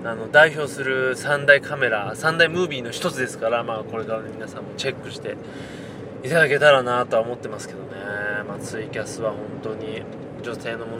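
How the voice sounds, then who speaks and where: Over noticeable background noise, a man with a medium-pitched voice talks at a fairly quick pace. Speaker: podcast host. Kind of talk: casual monologue. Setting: in a car.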